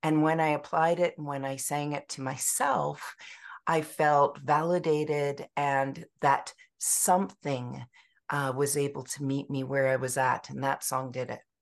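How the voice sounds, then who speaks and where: Over a quiet background, a woman with a Canadian accent speaks fairly slowly in a very deep, low pitch with monotone, flat intonation. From British Columbia, Canada. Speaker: music therapist and author. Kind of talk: interview.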